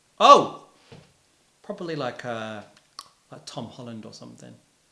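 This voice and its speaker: A man with a medium pitch talks at a moderate pace, his intonation lively and his loudness swinging widely, with long, frequent pauses. Audible room echo and noticeable background noise fill the recording. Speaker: musician. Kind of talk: casual interview chat. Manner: animated.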